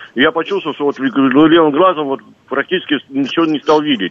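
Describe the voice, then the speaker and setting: Amid noticeable background noise, a man speaks fairly quickly at a fairly high pitch with ordinary pitch variation. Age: 60s. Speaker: caller, retired security officer. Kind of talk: phone-in question. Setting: phone call.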